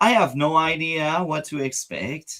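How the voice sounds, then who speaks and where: The speech moves very slowly, with a non-native accent. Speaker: political reaction streamer. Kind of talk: casual talk to camera.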